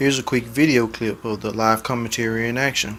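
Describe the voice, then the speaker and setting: A man with an ordinary speaking voice talks fairly quickly with fairly even intonation. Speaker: tech product reviewer. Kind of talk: product review tutorial. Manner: scripted, measured narration.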